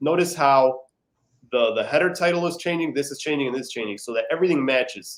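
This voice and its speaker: Rapid-fire speech with normal pitch movement. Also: man, fairly high pitch for a man. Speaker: website building guide. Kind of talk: tutorial. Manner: fast.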